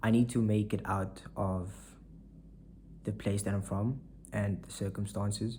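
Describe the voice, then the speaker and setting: At a fairly slow pace, a man speaks with a fairly low pitch and a dark, mellow tone, somewhat breathy, his intonation fairly even. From South Africa, Saldanha (Western Cape). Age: 20s. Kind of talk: casual vlog monologue.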